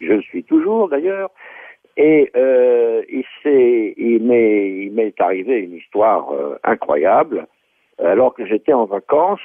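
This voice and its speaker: A man talks at a very slow pace. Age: 80s+. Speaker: writer and lecturer. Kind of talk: interview.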